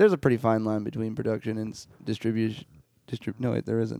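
A man's dark, mellow tone at medium pitch, delivered at a fairly quick pace. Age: 30s. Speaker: rock band drummer. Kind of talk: casual chat.

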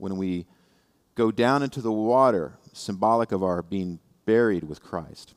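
A man with a fairly low pitch talks in an ordinary speaking voice with lively intonation, the sound dry and close with no echo. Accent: American. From Indiana. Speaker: lay preacher. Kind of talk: sermon.

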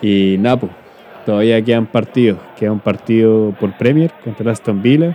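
This man speaks at a medium pitch. His pace is fairly slow, and his pitch varies in an ordinary way. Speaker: podcast host. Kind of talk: casual chat.

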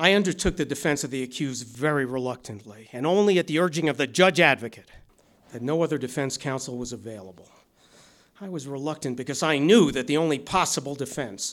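Speaking at a fairly quick pace, a man with an ordinary speaking voice uses ordinary pitch variation at a fairly high pitch. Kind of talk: courtroom drama performance, formal closing argument delivered in court. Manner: measured, solemn, formal oratory with grave, reluctant tone.

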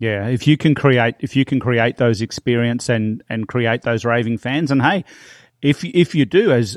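A man in an Australian accent, medium in pitch with ordinary pitch variation, at a moderate pace, on a very clean recording with a silent background and a dry, close sound with no echo. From Australia, small town then Melbourne. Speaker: real estate trainer and marketing coach. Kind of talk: interview.

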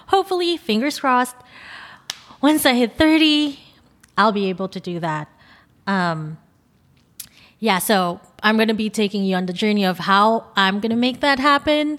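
A woman with a Filipino accent and a fairly high voice, very wide pitch swings, a moderate pace and long, frequent pauses. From Philippines. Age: 20s. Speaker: podcast host and photographer. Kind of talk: solo podcast monologue. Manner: nervous at times.

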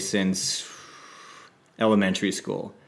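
Audible room echo surrounds a man with a western Canadian accent, who speaks at a moderate pace in a fairly low pitch with monotone, flat intonation. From Saskatchewan, Canada. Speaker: podcast co-host, entertainment entrepreneur. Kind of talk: casual chat.

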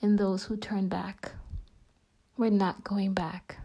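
A woman speaks very slowly in a monotone, her medium-pitched voice dark, mellow and somewhat breathy. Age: 30s. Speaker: podcast host and faith teacher. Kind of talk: devotional talk.

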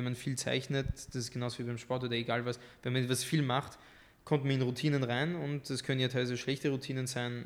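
Speaking at a fairly quick clip, a man with a medium-pitched voice keeps a flat, monotone delivery. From France, moved to Austria at 13. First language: French (speaking German). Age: young. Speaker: artist. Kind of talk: podcast interview.

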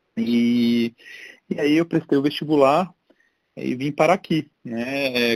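The man talks at a very slow pace, with a dry, close sound and no echo. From Brasília, Brazil. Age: 40s. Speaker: entrepreneur and tech executive. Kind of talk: casual interview.

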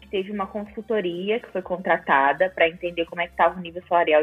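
Over music in the background, a woman talks at a fairly quick pace in a fairly low pitch. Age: 20s. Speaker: product designer. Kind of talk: casual chat.

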